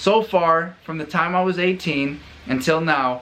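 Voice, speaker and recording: Against noticeable background noise, a man with an American accent talks at a fairly high pitch with ordinary pitch variation. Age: 20s. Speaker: YouTuber, Marine. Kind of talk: tutorial. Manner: casual, conversational.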